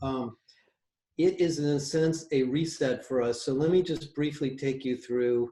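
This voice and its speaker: Dark and mellow in tone, a man's voice sits at medium pitch. His pitch varies in an ordinary way. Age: 60s. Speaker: industry analyst and company founder. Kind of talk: conference talk in a video call forum. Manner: casual, with fillers and restarts.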